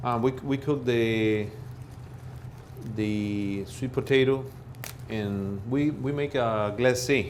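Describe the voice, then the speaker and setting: A man with a Spanish accent at a very slow pace, fairly even intonation, long and frequent pauses, and audible room echo. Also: medium pitch for a man. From Peru. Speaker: chef. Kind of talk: cooking demonstration. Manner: halting.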